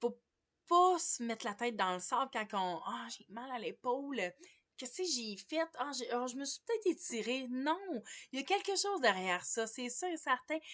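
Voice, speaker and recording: Her high voice swinging widely in pitch and loudness, a woman speaks with a Quebec accent. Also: moderate pace. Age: 40s. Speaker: massage therapist. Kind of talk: casual vlog monologue. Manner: hesitant, many fillers.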